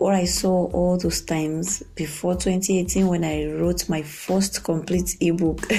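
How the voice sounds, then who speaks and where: A woman speaks at a fairly slow pace with hardly any pauses. Her loudness stays very even. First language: not English. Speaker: podcast host and author. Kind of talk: casual podcast monologue. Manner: halting, many fillers.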